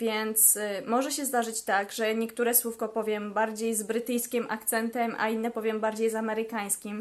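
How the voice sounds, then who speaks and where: A woman speaks at a moderate pace with hardly any pauses, her fairly high pitch held in a monotone, flat intonation. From Poland. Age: 20s. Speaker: language vlogger. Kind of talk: casual vlog talk. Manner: hesitant fillers.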